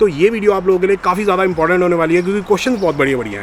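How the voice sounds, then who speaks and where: A man speaks with a high pitch and ordinary pitch variation. Noticeable background noise is present. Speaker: vlogger on studying in Canada. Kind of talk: casual vlog.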